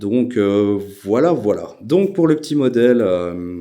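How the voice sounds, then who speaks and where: A man's dark, mellow tone with lively intonation. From Belgium. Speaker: airgun YouTuber. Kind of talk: casual channel introduction. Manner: hesitant, many filler sounds.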